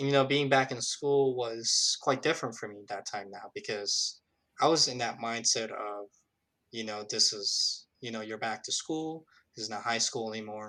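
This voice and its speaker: On a very clean recording with a silent background, a man speaks in a bright, sharp tone with big swings in loudness. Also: medium pitch for a man, ordinary pitch variation, moderate pace. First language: not English. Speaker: recent college graduate. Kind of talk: interview. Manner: many fillers, self-corrections.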